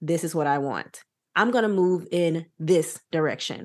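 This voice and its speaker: With an animated tone, a woman speaks in a fairly low voice. Her pace is moderate and her pitch variation ordinary. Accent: American. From US South. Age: 20s. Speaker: podcast host. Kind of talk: casual chat.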